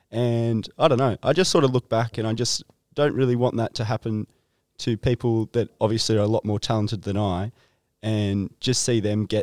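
In a very clean recording with a silent background, a man speaks with an Australian accent. His pitch is medium, his intonation fairly even, and his pace fairly quick. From Nelson Bay, Australia. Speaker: podcast interviewer. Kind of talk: casual chat.

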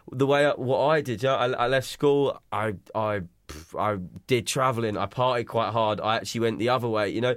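A man with a southern English accent and medium pitch, speaking at a fairly quick pace with ordinary pitch variation. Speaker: podcast host. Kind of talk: scripted intro; casual chat.

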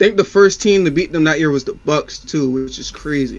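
A man's ordinary speaking voice, with ordinary pitch variation at a moderate pace. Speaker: podcast co-host. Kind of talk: casual sports banter.

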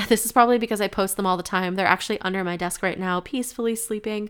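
A woman speaks at a medium pitch with an American accent and fairly even intonation. The recording is very clean, with a silent background. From upstate New York. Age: 20s. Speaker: podcast host, business owner. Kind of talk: solo podcast monologue. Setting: home recording with microphone. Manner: unscripted, with stumbles and pauses.

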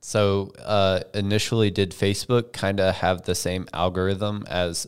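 In a very clean recording with a silent background, a man with an ordinary speaking voice talks at a fairly slow pace, with a fairly low pitch and fairly even intonation. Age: 20s. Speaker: podcast co-host and videographer. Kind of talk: casual chat. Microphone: mic very close to face.

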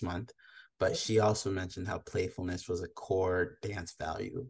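Against a quiet background, a man speaks at a moderate pace with a fairly low pitch and a somewhat breathy voice. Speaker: podcast host. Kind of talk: casual interview chat. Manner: enthusiastic.

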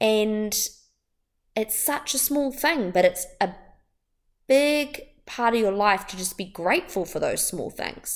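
Speaking at a fairly slow pace with long, frequent pauses, a woman with a fairly high pitch sounds upbeat and animated, her intonation lively. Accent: New Zealand. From New Zealand, Wellington. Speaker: wellbeing podcast host. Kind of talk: solo motivational podcast talk. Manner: upbeat, animated.

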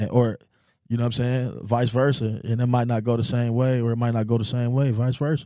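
In a very clean recording with a silent background, a man with an American accent, medium pitch and a dark, mellow tone speaks at a fairly quick pace in a monotone, flat delivery. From Houston, Texas. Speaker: podcast guest. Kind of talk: casual chat.

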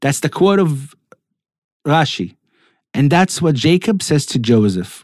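Speaking at a fairly slow pace with long, frequent pauses, a man with an Israeli accent uses a fairly high pitch and very wide pitch swings while his loudness stays very even. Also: very clean recording, silent background. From Israel (Netanya). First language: Hebrew. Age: 40s. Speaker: Torah teacher. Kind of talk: weekly Torah talk.

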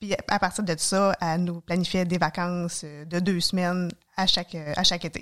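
A woman's fairly low voice in a Quebec accent, at a moderate pace, with monotone, flat intonation. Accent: Québécois French. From Quebec, Mauricie (Trois-Rivières area). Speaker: nurse and hiker. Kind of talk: casual interview.

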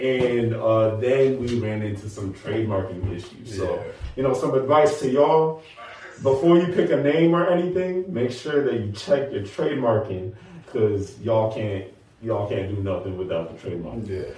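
Over noticeable background noise and with audible room echo, a man of medium pitch speaks at a moderate pace with lively intonation. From Nashville. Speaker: app co-founder. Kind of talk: casual interview.

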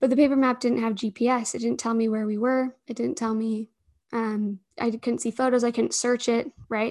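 Against a quiet background, a woman with a Utah accent speaks at a moderate pace. Her fairly high voice keeps a fairly even intonation. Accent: Utah American English. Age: 20s. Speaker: startup founder and CEO. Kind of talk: interview conversation.

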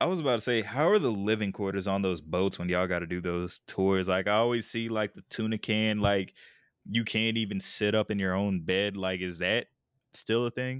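There is an ordinary speaking voice with an American accent. It moves at a moderate pace with ordinary pitch variation. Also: man, fairly low pitch for a man. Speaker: podcast host, former military. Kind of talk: casual chat. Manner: casual, slangy.

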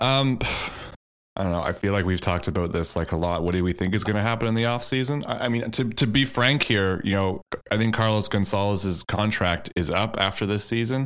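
At a fairly quick pace, a man speaks in a fairly low pitch with ordinary pitch variation and very even loudness. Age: 30s. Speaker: supporters' podcast host. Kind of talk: casual chat.

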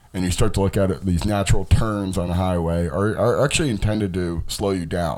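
A man's very deep, low voice at a fairly quick pace, with ordinary pitch variation, hardly any pauses, and audible room echo. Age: 40s. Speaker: fitness and health podcast host. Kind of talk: educational lecture.

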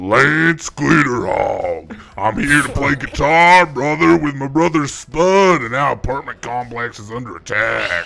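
A man's put-on character voice at a fairly high pitch, with hardly any pauses. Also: fairly slow pace. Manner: goofy exaggerated character voice.

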